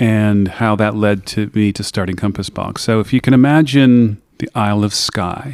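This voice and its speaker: At a moderate pace and with hardly any pauses, a man with an American accent talks in a fairly low pitch and fairly even intonation. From United States. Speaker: whisky maker. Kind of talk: interview. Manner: halting.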